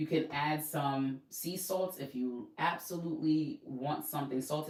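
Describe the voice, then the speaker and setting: Against noticeable background noise, a woman with a New York accent speaks with ordinary pitch variation. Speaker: fitness and weight-loss coach. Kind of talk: casual instructional talk.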